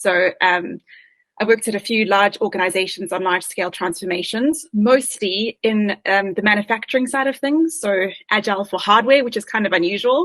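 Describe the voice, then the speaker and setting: With a South African accent, a woman speaks at a fairly quick pace and medium pitch, using ordinary pitch variation. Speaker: agile coach. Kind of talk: interview.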